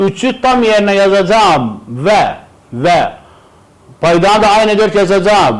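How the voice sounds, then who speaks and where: Amid audible room echo and noticeable background noise, a man speaks very slowly at a high pitch with ordinary pitch variation and very even loudness. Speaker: math teacher. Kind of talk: tutorial.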